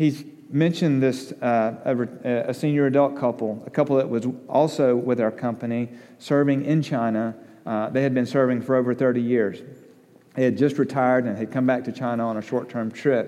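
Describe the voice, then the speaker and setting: With an Alabama accent, a man speaks at a moderate pace and medium pitch, his intonation fairly even. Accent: Southern US (Alabama). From US South, Alabama (Tuscaloosa). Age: 40s. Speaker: missionary. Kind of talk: sermon.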